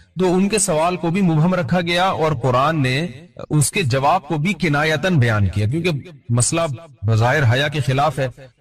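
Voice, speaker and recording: Noticeable background noise sits behind a man with fairly high pitch. His pitch varies in an ordinary way, and his loudness stays very even. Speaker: Islamic scholar giving a sermon. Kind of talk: Islamic sermon (bayan) lecture.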